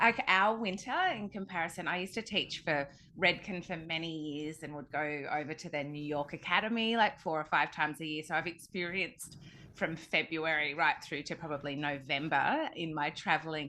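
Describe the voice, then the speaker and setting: Against a quiet background, a woman with an Australian accent speaks in a bright, sharp tone, her fairly low pitch showing ordinary variation. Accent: Australian, slow drawl. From Australia (Sydney). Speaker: hair colour educator. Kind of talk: interview podcast.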